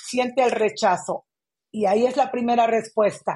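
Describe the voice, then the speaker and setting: This is a woman with a high-pitched voice. She talks at a moderate pace against a quiet background. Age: 50s. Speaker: community activist. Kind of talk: interview conversation.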